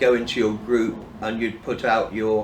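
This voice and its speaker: A man with a British accent, medium pitch, very slow pace and audible room echo. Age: 60s. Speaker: person in addiction recovery. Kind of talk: personal testimony. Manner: halting, with fillers and restarts.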